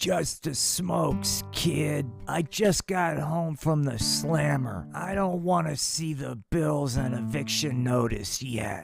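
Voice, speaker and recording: A man's raspy, cartoonish character voice at medium pitch, with very wide pitch swings, a fairly slow pace, hardly any pauses, and faint music in the background. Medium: puppet show. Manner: gruff, boozy.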